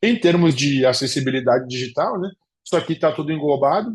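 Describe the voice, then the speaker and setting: The man's lively intonation comes through a somewhat breathy voice at a moderate pace. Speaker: professor. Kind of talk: lecture.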